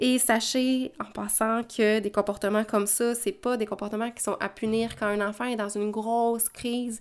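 Delivered in a Quebec accent, the speech runs at a moderate pace in a monotone, flat intonation with hardly any pauses. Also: woman, fairly high pitch for a woman. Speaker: parenting educator podcaster. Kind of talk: solo podcast monologue. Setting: at home with children in background.

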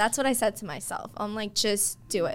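This woman has an unremarkable speaking voice. She talks at a fairly quick pace with ordinary pitch variation. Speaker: realtor and coach. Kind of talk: casual interview.

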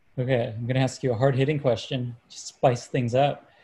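A man talks at a medium pitch with fairly even intonation, his voice somewhat breathy with a dark, mellow tone. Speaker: moderator and newsletter writer. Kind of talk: moderated interview.

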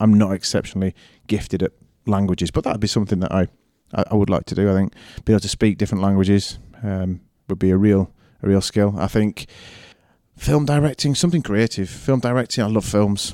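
Recorded very cleanly against a silent background with a dry, close sound and no echo, a man with a Yorkshire accent speaks at a fairly quick pace in a dark, mellow tone, his fairly low pitch showing ordinary variation between long, frequent pauses. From Yorkshire, northern England. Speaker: head of a prep school. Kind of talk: interview.

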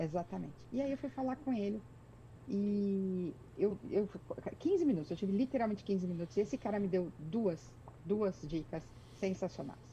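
A woman with a Brazilian accent, medium pitch, moderate pace, and long, frequent pauses. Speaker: executive secretary, immigrant. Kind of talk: interview. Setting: video call.

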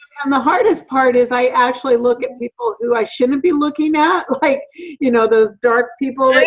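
Noticeable background noise surrounds a voice that moves at a moderate pace with ordinary pitch variation. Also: woman, high pitch for a woman. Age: 50s. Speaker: work supervisor. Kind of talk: casual chat.

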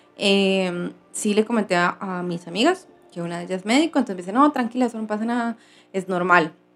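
A woman speaks in a normal speaking voice at a fairly quick pace, with medium pitch and ordinary pitch variation. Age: 30s. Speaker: vlogger. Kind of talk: personal vlog.

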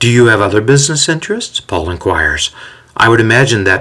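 Text read in a natural reading voice

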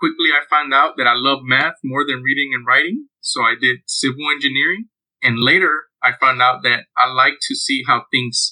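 A man speaks with an American accent at a moderate pace, in a medium pitch, with an unremarkable speaking voice. The sound is dry and close, with no echo. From Houston, Texas. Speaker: mechanical engineer. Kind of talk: casual chat.

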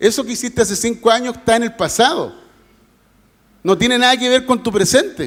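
Extremely high in pitch for a man, his animated voice moves at a fairly quick pace with ordinary pitch variation and long, frequent pauses. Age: 50s. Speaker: pastor. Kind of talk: sermon. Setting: church.

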